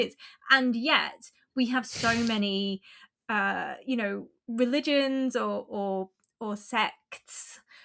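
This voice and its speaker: With an Essex accent, a woman speaks very slowly in a fairly high pitch, her tone bright and sharp and her pitch variation ordinary. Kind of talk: academic, analytical.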